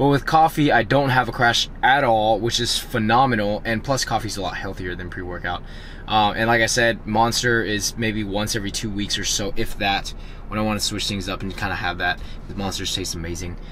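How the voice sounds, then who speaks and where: Noticeable background noise sits under the speech. The pace is fairly quick, with ordinary pitch variation. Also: man, fairly low pitch for a man. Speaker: fitness vlogger. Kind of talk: casual vlog and chat.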